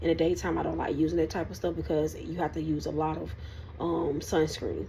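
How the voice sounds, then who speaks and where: A woman talking at a fairly quick pace amid audible room echo and noticeable background noise. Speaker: lifestyle vlogger. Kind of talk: casual vlog chat. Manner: halting, stuttering.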